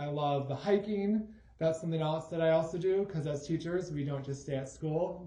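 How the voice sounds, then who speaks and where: A man with an American accent at a fairly high pitch and moderate pace, amid audible room echo and noticeable background noise. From Michigan, Grand Rapids. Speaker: high school math teacher. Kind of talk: casual self-introduction video.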